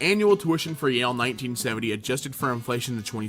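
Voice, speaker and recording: A man talks at a very fast pace with lively intonation and a medium pitch. Music plays in the background. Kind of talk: opinion rant to camera.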